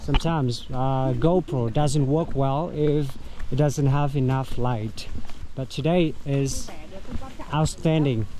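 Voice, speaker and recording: A man speaks at a very slow pace and a fairly high pitch, with ordinary pitch variation. Audible room echo and noticeable background noise surround him. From Vietnam. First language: Vietnamese. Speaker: tour guide and travel vlogger. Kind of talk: travel vlog narration. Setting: outdoors, hiking. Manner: hesitant, many fillers.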